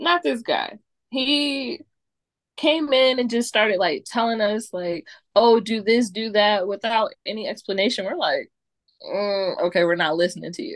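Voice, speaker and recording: Lively intonation runs through a normal speaking voice delivered at a moderate pace. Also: woman, fairly high pitch for a woman. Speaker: guest, cousin of host. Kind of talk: casual comedy podcast chat.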